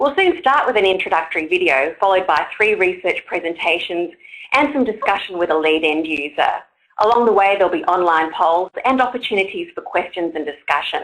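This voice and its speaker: A woman with an Australian accent speaks at a fairly quick pace and medium pitch, her intonation lively and her loudness very even. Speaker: online forum moderator. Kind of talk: event introduction. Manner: formal.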